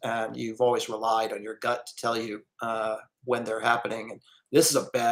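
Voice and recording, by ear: The background is quiet as someone reads aloud in a natural voice.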